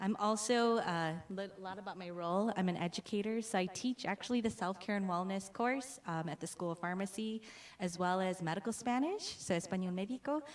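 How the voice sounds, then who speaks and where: A plain, everyday voice with an American accent, a fairly quick pace, ordinary pitch variation and hardly any pauses. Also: woman, medium pitch for a woman. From US, Hmong American community. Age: young. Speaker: pharmacy professor. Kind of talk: conference presentation. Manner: frequent fillers, uh and um.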